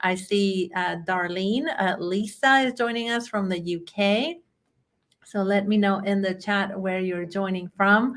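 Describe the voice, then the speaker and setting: A woman with a Chilean accent at a fairly slow pace, with ordinary pitch variation. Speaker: bookkeeping trainer. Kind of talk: webinar presentation. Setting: online webinar.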